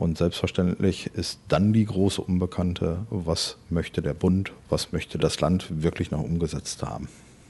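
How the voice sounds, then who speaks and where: Very deep, low male speech, fairly slow in pace and with ordinary pitch variation. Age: 40s. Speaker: head of a municipal health department. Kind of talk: interview.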